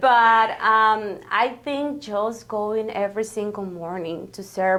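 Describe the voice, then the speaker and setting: A woman with a Spanish accent speaks at a fairly slow pace in a fairly high voice. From Guatemala. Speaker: grant coordinator. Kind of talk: interview. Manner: hesitant, many fillers.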